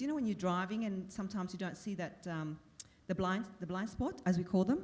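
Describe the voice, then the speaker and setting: A woman speaks fairly quickly, her medium-pitched voice somewhat breathy. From Vietnam, raised in Australia. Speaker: former broadcaster and politician. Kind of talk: panel discussion. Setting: conference stage with audience. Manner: halting, many fillers.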